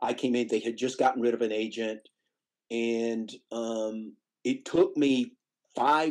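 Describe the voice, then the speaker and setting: A man with a Tennessee accent, medium pitch and a fairly slow pace. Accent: Southern US (Tennessee). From Nashville, Tennessee. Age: 60s. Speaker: music booking agent. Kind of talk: interview conversation.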